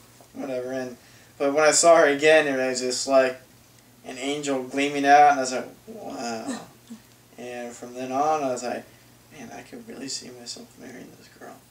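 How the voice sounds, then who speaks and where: In an audible room echo with noticeable background noise, a man with an American accent speaks at a moderate pace and medium pitch, with ordinary pitch variation, big swings in loudness, and long, frequent pauses. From Southern California. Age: 20s. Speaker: accountant, groom. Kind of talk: interview, wedding video.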